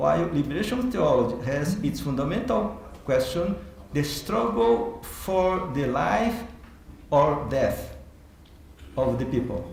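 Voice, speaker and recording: Amid noticeable background noise and audible room echo, a man with a non-native accent speaks very slowly at a fairly high pitch, with very wide pitch swings. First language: Portuguese. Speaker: theology professor. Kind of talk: keynote lecture. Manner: halting.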